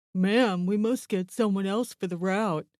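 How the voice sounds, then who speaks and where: The put-on character voice sits at a middle pitch and moves at a moderate pace. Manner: muttering.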